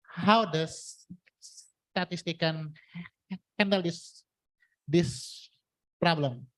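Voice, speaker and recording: Speech comes at a very slow pace in an Indonesian accent. Long pauses break it up frequently. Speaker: university student asking a question. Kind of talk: audience question. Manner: halting.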